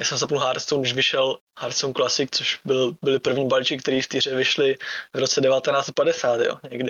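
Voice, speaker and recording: The man's loudness stays very even as he talks at a moderate pace. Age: 20s. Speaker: esports player. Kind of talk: casual chat.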